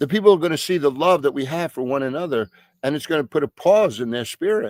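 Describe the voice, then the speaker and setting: A man speaks with a New York accent and lively intonation. The sound is dry and close with no echo, in a very clean recording with a silent background. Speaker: pastor. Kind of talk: bible study teaching. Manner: halting with frequent fillers and repetitions.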